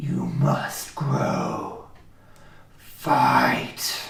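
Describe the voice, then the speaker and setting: A man performs a put-on character voice, booming and growling. A slight echo can be heard. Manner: commanding.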